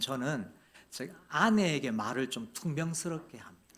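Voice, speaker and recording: Very wide pitch swings in a man's speech at a very slow pace. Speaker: guest preacher, seminary professor. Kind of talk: sermon. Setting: church. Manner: hesitant, many fillers.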